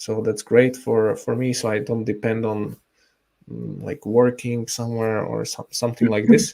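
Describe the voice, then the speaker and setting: A man with a Slovak accent speaks at a moderate pace in a medium pitch. His tone is dark and mellow, and his intonation is monotone and flat. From Slovakia. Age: 30s. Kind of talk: interview. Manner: halting, many fillers.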